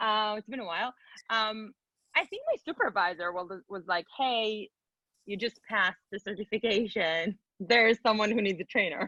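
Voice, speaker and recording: A woman at a moderate pace with an Israeli accent. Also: fairly high pitch for a woman, ordinary pitch variation. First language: Hebrew. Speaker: personal trainer and bodybuilder. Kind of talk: interview.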